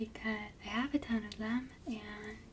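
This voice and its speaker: Soft-spoken and relaxed in tone, a woman talks with a fairly high pitch and monotone, flat intonation over noticeable background noise. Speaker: ASMR content creator. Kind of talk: casual talk to camera. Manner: soft-spoken, relaxed.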